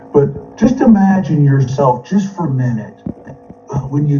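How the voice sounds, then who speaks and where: A man with an American accent speaks at a fairly high pitch. His intonation is lively, with music in the background. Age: 60s. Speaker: former corporate executive and FBI informant, speaker. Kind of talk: webinar talk. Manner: halting.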